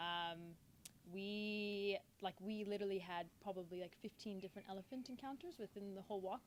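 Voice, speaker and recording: With an American accent, a woman speaks at a medium pitch and a moderate pace, her intonation fairly even. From Texas, USA. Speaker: safari guide. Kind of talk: casual podcast conversation.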